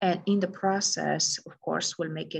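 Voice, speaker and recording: The speaker is a woman. Vocal fry runs through her voice. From Romania. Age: 40s. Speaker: integrative medicine doctor. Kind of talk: recorded presentation. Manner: hesitant with fillers.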